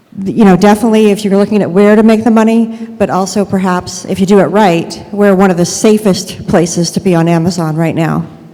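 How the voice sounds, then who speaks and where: Noticeable background noise sits behind a woman at medium pitch. She talks at a fairly quick pace with fairly even intonation and hardly any pauses. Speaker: e-commerce consultant. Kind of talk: conference presentation. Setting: stage with audience. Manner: hesitant with many fillers.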